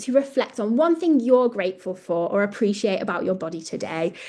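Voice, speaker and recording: Her pitch swinging very widely, a woman speaks with a dark, mellow tone. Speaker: project presenter. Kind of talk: webinar presentation. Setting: online webinar with screen sharing.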